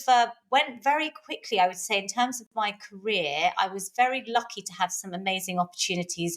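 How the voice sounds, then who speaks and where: A woman with a London accent at medium pitch, moderate pace, lively intonation and big swings in loudness. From London, England. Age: 40s. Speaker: personal trainer. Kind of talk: interview conversation. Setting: podcast recording.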